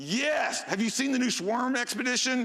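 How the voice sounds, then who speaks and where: A man's raised, projected voice in an animated tone. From Houston, Texas. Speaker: security conference speaker. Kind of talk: conference talk. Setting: stage with audience. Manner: loud; animated, halting with fillers.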